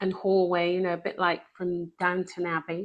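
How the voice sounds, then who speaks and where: A woman with a British accent talks at medium pitch. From England. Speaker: author and speaker. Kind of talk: testimony.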